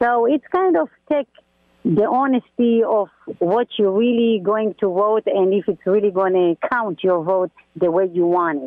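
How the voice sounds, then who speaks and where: In a plain, everyday voice, a woman speaks at a fairly slow pace at medium pitch with ordinary pitch variation. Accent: American. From outside the US. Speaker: caller. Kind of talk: call-in. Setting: phone call.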